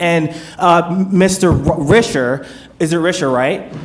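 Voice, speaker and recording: This man speaks with a high pitch and ordinary pitch variation, and noticeable background noise can be heard. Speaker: attorney speaking as resident in public comment. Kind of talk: public comment at board meeting. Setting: public hearing with audience. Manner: fast; formal.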